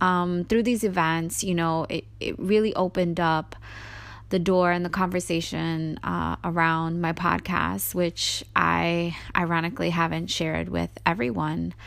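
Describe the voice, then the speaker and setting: Here a woman talks at a fairly slow pace in an American accent. The recording is very clean, with a silent background. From New York City. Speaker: podcast host. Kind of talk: solo podcast monologue.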